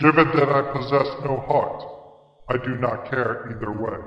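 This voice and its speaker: Clear echo surrounds a man using a put-on character voice at a medium pitch and moderate pace. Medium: audio drama. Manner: flat, deadpan.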